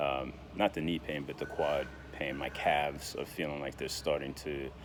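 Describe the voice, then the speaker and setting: Over noticeable background noise, a man speaks at a fairly slow pace in a very deep, low voice. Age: 60s. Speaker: diabetes vlogger. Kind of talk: casual vlog monologue. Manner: hesitant, many fillers and repetitions.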